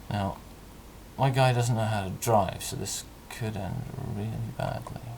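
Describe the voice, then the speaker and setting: With noticeable background noise behind him, a man speaks at a moderate pace in a fairly low pitch with fairly even intonation. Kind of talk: casual gameplay commentary. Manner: mumbles at times.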